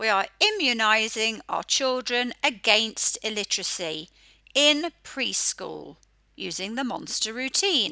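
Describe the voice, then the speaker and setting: A woman's fairly high, bright and sharp voice with an English accent, lively intonation and a very slow pace. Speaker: phonics educator. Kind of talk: educational talk.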